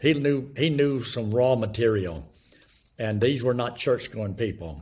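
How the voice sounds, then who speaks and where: A man with a medium pitch and a somewhat breathy voice speaks at a fairly slow pace with ordinary pitch variation. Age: 70s. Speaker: evangelist and former youth ministry leader. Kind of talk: interview; gospel presentation. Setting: video call.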